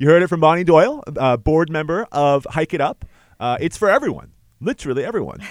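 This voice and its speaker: With lively intonation, a man talks at a very fast pace in a fairly high pitch. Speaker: student radio host. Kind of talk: radio interview. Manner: fast talker.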